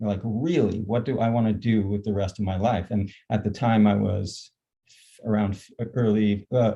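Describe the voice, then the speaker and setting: A man's dark, mellow tone is somewhat breathy, with a fairly low pitch and fairly even intonation. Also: quiet background. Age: 60s. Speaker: nonprofit founder. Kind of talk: panel discussion. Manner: halting.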